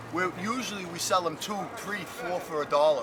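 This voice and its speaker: Noticeable background noise sits behind a man talking with an American accent. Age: 60s. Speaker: market vendor. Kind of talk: casual interview.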